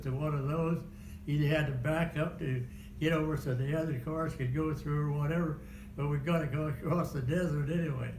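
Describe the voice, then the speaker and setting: A man speaks at a fairly quick pace with a fairly high pitch, a monotone, flat intonation, and very even loudness. Audible room echo and noticeable background noise are present. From Kansas. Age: 90s. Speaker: war veteran. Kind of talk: oral history interview. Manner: halting.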